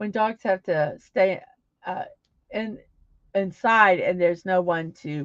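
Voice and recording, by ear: With ordinary pitch variation and a quiet background, someone is reading aloud in a natural voice.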